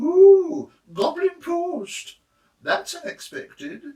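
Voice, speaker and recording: Using a put-on character voice, a man talks very slowly at an extremely high pitch. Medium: read story. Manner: warm, motherly.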